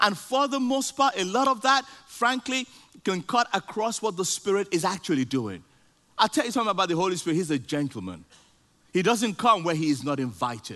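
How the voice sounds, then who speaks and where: In a raised, projected voice with a bright, sharp tone, a man speaks at a high pitch and fairly quick pace with very wide pitch swings. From Nigeria. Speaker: guest preacher. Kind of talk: sermon. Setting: church with congregation.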